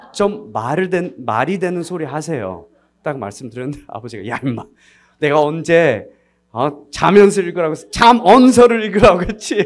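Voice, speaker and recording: The voice moves at a moderate pace. Its pitch swings very widely and its loudness swings a lot. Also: man, high pitch for a man. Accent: non-native. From United States, Korean diaspora. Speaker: missionary. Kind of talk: sermon. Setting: church service. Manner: halting, frequent self-corrections.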